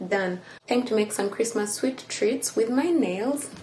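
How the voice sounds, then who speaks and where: Female speech at a fairly slow pace, its pitch moving in a typical way. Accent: Ugandan. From Uganda. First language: Luganda. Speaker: lifestyle vlogger. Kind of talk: casual vlog talk.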